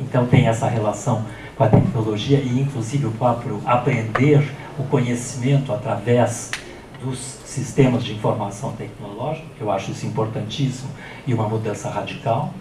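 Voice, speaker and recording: The man's intonation is fairly even. Audible room echo and noticeable background noise accompany him. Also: medium pitch for a man, moderate pace. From Brazil. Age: 60s. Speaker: professor. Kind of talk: lecture. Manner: halting.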